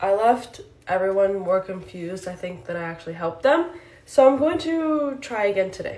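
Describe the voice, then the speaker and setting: A woman speaks at a medium pitch and a moderate pace, and the room echo is audible. Her pitch swings very widely and her loudness rises and falls a lot. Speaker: hair tutorial vlogger. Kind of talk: tutorial. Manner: out of breath.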